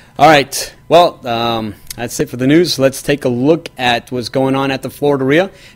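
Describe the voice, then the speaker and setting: With hardly any pauses, a man at medium pitch speaks with fairly even intonation. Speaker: real estate news show host. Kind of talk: weekly news show presentation. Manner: fast; casual with many fillers.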